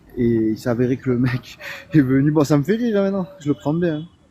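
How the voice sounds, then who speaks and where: Pausing long and often amid noticeable background noise, a man talks at a fairly quick pace with lively intonation and a fairly high pitch. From Marseille, southern France. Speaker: delivery driver, live-stream guest. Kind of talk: casual chat.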